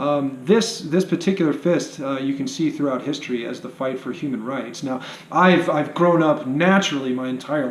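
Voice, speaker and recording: A man talks at a fairly high pitch while audible room echo and noticeable background noise fill the recording. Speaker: vlogger. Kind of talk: monologue to camera. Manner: hesitant, many fillers.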